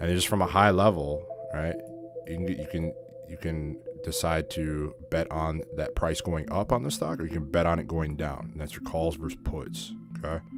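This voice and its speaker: With music playing behind him and audible room echo, a man speaks at a very deep, low pitch with ordinary pitch variation. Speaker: trading educator. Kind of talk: lecture. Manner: fast; animated.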